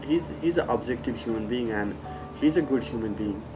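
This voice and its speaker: Over music in the background, a man speaks at a medium pitch with very wide pitch swings. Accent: non-native. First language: not English. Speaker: former student and peer mentor. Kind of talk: testimonial interview.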